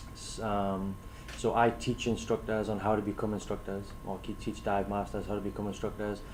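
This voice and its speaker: A man's fairly low, monotone voice with flat intonation, a fairly quick pace and a non-native accent. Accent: foreign. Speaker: scuba instructor trainer. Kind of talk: prepared talk to camera. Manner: hesitant, many fillers.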